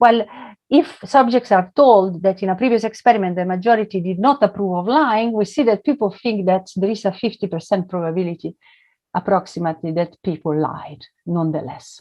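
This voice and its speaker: Using a normal speaking voice, a woman talks at a fairly quick pace with lively intonation and a medium pitch. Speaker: economics professor. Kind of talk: academic talk.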